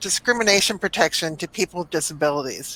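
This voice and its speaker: Recorded dry and close with no echo, a woman speaks at a fairly low pitch with a bright, sharp tone. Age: 60s. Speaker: museum accessibility director. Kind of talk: panel discussion. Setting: video call from home.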